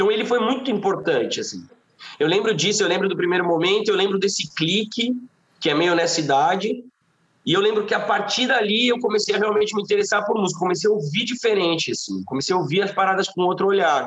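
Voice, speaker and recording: Very fast speech from a man, pitched high, with ordinary variation in pitch. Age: 30s. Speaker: singer-songwriter. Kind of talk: casual chat.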